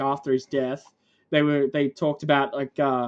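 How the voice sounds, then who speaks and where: The speaker has an Australian accent and keeps a moderate pace. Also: woman. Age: 20s. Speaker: gaming streamer. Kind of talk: casual chat. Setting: live stream. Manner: cadence like a New Zealander.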